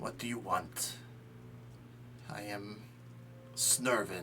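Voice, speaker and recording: Over loud background noise, a man in a put-on character voice at medium pitch speaks at a very slow pace. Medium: actual play. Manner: clipped, terse phrases.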